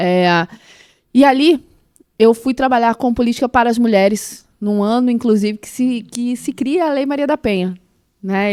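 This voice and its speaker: Recorded very cleanly against a silent background with a dry, close sound and no echo, a woman speaks at a fairly high pitch and moderate pace with ordinary pitch variation. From Brazil, Mato Grosso do Sul. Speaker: former public official, entrepreneurship. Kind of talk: podcast interview. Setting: podcast studio.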